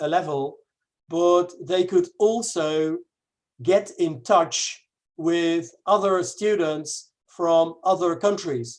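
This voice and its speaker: The speaker has a Dutch accent. The pace is very slow. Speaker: English teacher. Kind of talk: webinar presentation. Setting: online webinar. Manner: halting, many fillers.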